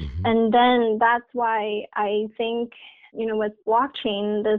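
Her pitch is fairly high. This woman speaks at a fairly slow pace. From China (Tianjin). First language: Mandarin. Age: 20s. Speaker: PhD student in computer science. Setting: phone call.

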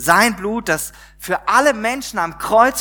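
Raising and projecting his voice, a man with a high pitch speaks with lively intonation. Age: 40s. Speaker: pastor. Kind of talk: sermon. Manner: conversational, many filler words.

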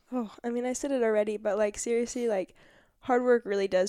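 In an American accent, a woman talks at a moderate pace in a dark, mellow tone with ordinary pitch variation. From Southern California, Orange County. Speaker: college basketball player. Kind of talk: interview. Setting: studio.

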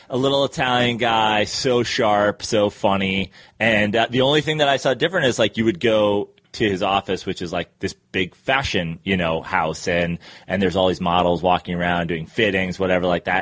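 A man with a normal speaking voice and an American accent talks at a moderate pace and a fairly low pitch, with ordinary pitch variation, in a dry, close sound with no echo. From New York, Westchester County. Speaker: comedian. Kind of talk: casual chat.

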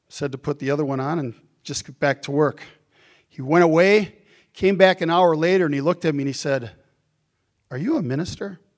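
A man with a fairly high pitch and ordinary pitch variation speaks at a fairly quick pace, with long, frequent pauses, big swings in loudness and a dry, close sound with no echo. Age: 60s. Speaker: bishop. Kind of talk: sermon. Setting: church.

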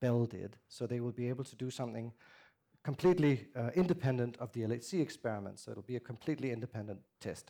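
Fairly quick speech from a man with a Danish accent and a dark, mellow tone. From Denmark. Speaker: theoretical physicist. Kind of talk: public lecture.

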